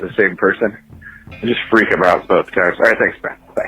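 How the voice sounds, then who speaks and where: A man talks at a moderate pace with big swings in loudness, and music plays in the background. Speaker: caller. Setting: phone.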